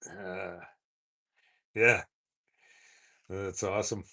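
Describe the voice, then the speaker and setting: Against a quiet background, a man with a Canadian prairie accent talks in a flat, monotone way. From Saskatchewan, Canada. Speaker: motorcycle vlogger. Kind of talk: live stream chat. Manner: halting.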